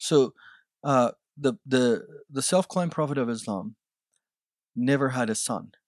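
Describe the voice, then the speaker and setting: A man with a fairly high pitch and lively intonation speaks at a fairly slow pace, with long, frequent pauses. The sound is dry and close with no echo, on a very clean recording with a silent background. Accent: Iranian. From Iran. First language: Farsi. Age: 30s. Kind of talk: testimony.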